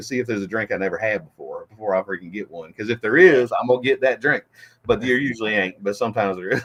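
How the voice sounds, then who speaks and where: Talking at a very fast pace in a Southern US accent, a man is heard in a dry, close sound with no echo. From Florida. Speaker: rapper. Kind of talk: casual chat.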